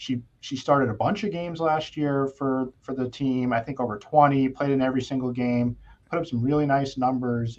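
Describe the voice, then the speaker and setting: A man with an American accent talks at a fairly quick pace and medium pitch, with ordinary pitch variation over a quiet background. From New York State (Yorktown). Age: 30s. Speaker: NIL expert. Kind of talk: casual sports podcast discussion. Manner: hesitant, many fillers.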